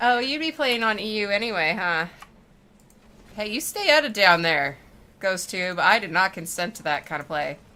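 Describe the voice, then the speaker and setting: With an American accent, a woman talks at medium pitch and a moderate pace. Her pitch swings very widely, and she takes long, frequent pauses. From Oregon, US Pacific Northwest. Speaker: livestreamer gamer. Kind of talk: casual chat while gaming livestream. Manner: animated, chatty.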